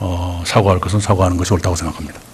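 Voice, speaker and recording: Noticeable background noise sits behind a man's very deep, low voice. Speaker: prime minister. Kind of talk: parliamentary interpellation answer.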